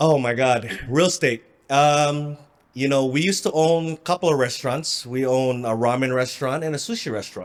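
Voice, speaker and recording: Here is a man with a plain, everyday voice, pitched fairly high. He moves at a fairly quick pace with ordinary pitch variation. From Philippines, then Southern California from 16. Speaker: real estate investor. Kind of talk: interview.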